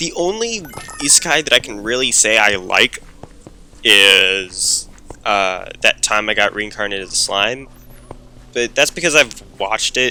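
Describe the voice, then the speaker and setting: Over noticeable background noise, a man with a medium pitch and lively intonation talks at a fairly slow pace, leaving long, frequent pauses. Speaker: gaming YouTuber. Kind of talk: gameplay commentary. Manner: loud; casual, rambling with fillers.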